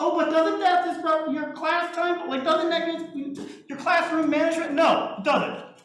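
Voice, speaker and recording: Loud and extremely high-pitched for a man, his voice carries audible room echo. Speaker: music teacher. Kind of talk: lecture. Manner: animated.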